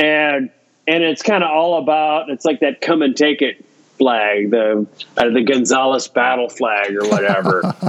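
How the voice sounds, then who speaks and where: With an ordinary speaking voice and an American accent, the speaker talks at a fairly slow pace with lively intonation and very even loudness. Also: man, medium pitch for a man. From US Midwest, Iowa. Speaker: science fiction author. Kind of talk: interview.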